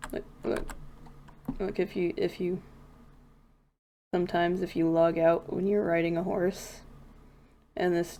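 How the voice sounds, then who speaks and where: A woman speaks fairly slowly in a fairly low pitch with a dark, mellow tone. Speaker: gaming streamer. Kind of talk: casual livestream commentary. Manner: rambling, self-correcting.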